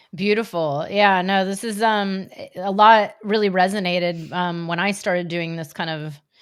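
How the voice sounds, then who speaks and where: Here is a woman with an unremarkable speaking voice. She keeps a moderate pace and fairly even intonation. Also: medium pitch for a woman. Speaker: spiritual business coach, podcast host. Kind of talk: podcast conversation.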